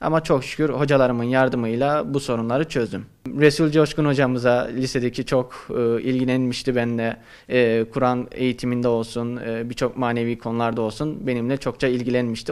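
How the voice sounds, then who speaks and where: A man at a fairly quick pace with hardly any pauses and fairly even intonation, against a quiet background. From Turkey, Kayseri; Turkey. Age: 20s. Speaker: university student; interviewee. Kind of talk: interview. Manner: halting, many fillers. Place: office. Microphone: handheld.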